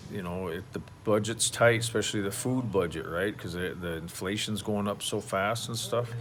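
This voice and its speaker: A man with an American accent, fairly low pitch and ordinary pitch variation, at a fairly slow pace amid audible room echo. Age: 60s. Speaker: expat vlogger, retired oil field worker. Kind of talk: casual vlog monologue. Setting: outdoors at home by a pool. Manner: halting, many fillers and restarts.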